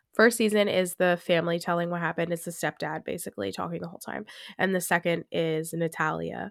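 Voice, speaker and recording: A woman talks at a very fast pace with a fairly low pitch and vocal fry. Her pitch variation is ordinary, and the sound is dry and close with no echo. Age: 20s. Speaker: podcast host. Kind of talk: casual chat. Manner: conversational with many fillers.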